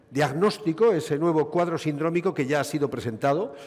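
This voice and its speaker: A man talks in a fairly high-pitched voice. Noticeable background noise is present. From Basque Country, Spain. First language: Basque (speaking Spanish). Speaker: gynecologist, conference speaker. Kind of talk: medical conference lecture.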